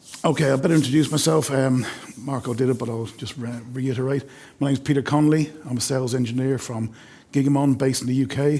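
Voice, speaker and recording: The delivery is very fast, with fairly even intonation and an Irish accent. Noticeable background noise is present. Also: man, medium pitch for a man. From Ireland. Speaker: sales engineer. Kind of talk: webinar product demo.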